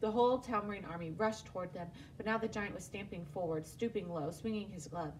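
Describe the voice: With ordinary pitch variation, the speaker simply reads aloud.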